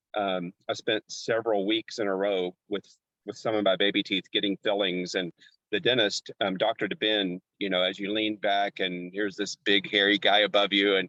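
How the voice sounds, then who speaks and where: An American accent with ordinary pitch variation. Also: man. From Arkansas, US. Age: 60s. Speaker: dentist and pro wrestler. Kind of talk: interview. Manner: halting.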